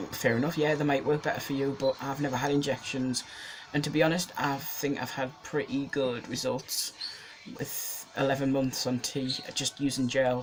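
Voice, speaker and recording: Noticeable background noise sits behind a man's fairly high voice. He talks at a moderate pace with a monotone, flat intonation. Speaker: vlogger. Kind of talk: casual vlog monologue. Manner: hesitant, many ums.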